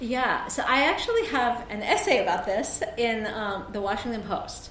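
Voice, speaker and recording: A fairly high-pitched woman's voice with noticeable background noise and audible room echo. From South Korea, moved to suburban Maryland at 11. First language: Korean. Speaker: novelist. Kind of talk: author talk with readings.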